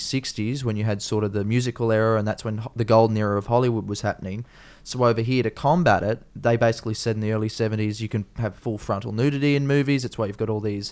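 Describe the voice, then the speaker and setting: Speaking at a very fast pace with hardly any pauses, a man with an Australian accent keeps his intonation fairly even. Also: medium pitch for a man. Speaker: comedian, podcast host. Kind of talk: casual podcast conversation.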